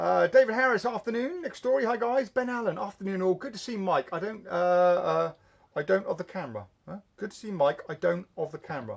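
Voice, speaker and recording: Mumbling at a fairly quick pace, a man with a high-pitched voice uses lively intonation and big swings in loudness. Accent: English. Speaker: magic shop owner and show host. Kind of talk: live stream chat reading viewer comments. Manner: fast, mumbling; halting.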